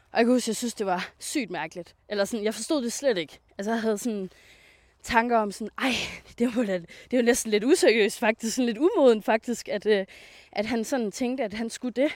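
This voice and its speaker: A plain, everyday voice at a moderate pace, ordinary pitch variation, on a very clean recording with a silent background. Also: woman. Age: 20s. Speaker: self-employed coach. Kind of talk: casual interview. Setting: outdoors on a walk.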